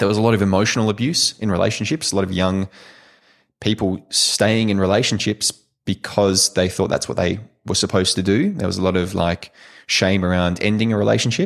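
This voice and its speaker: This man speaks with an Australian accent at a fairly quick pace, his pitch fairly low. His intonation stays fairly even on a very clean recording with a silent background. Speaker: sex coach. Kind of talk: interview conversation.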